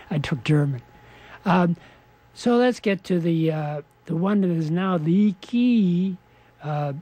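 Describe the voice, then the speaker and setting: This man has a high pitch and ordinary pitch variation. His tone is dark and mellow. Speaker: community radio show host. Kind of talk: radio interview questions.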